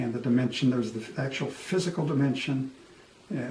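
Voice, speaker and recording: This man's voice carries audible room echo amid noticeable background noise. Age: 70s. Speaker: co-host discussing aging. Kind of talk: casual chat.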